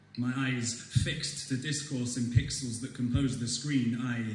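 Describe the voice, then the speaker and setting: Over noticeable background noise, a man talks at a fairly slow pace with medium pitch. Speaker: student slam poet. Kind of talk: slam poetry performance. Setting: live audience in a hall.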